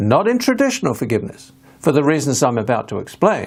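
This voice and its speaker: A man's voice with vocal fry and very wide pitch swings, in an English accent. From England. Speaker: author and hypnotherapist. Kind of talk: recorded video talk.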